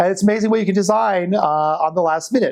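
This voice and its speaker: This man has an American accent. His pitch varies in an ordinary way. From Colorado. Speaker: quilt designer and shop owner. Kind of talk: interview testimony. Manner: casual.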